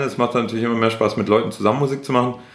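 A man's voice in a room with audible echo, the intonation fairly even. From Swabia, Schorndorf near Stuttgart. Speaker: rapper. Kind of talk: casual interview. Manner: halting, many fillers.

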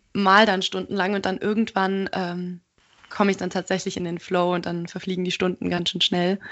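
Her pace is moderate and her pitch medium. This woman's intonation stays monotone and flat. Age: 20s. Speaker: art student and podcaster. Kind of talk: interview.

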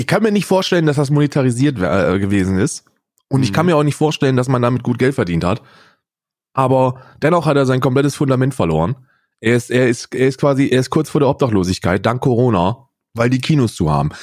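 Talking at a very fast pace, a man uses lively intonation at medium pitch. His loudness stays very even. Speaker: podcast co-host and streamer. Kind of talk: casual chat.

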